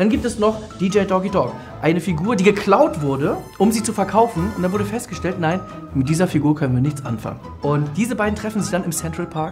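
Clear music plays behind a man whose high voice carries a cheerful, confident tone. His intonation is lively and his pace fairly quick. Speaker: comedian and voice actor. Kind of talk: casual promotional talk to camera about a film. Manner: cheerful, self-confident, joking. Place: studio. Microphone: lapel.

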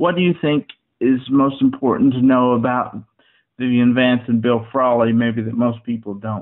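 A man with an ordinary speaking voice speaks at a medium pitch with fairly even intonation. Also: moderate pace. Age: 30s. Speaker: newspaper columnist and interviewer. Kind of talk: interview conversation.

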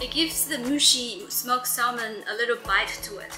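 Clear music in the background under a woman's voice. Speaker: food vlogger. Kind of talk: food review commentary. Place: home room. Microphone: phone near.

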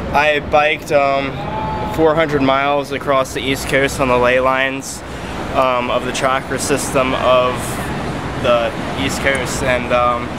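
A man talks at a moderate pace. Loud noise fills the background. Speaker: interviewee. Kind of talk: interview answer. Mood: earnest, intense. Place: street.

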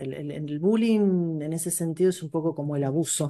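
Against a quiet background, a woman speaks with a dark, mellow tone, fairly low pitch and ordinary pitch variation. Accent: Rioplatense. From Argentina. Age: 50s. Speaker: educational psychologist and teacher; teacher. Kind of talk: interview. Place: home room. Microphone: earbuds.

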